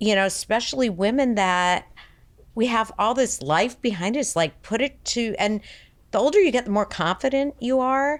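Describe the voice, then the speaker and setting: A woman with an unremarkable speaking voice and fairly high pitch speaks at a moderate pace with lively intonation and very even loudness, in a very clean recording with a silent background. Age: 60s. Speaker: fitness enthusiast. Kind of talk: podcast interview.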